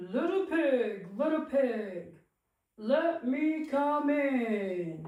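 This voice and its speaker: A woman uses a cartoonish character voice at a high pitch. She speaks at a very slow pace, with slight echo. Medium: puppet.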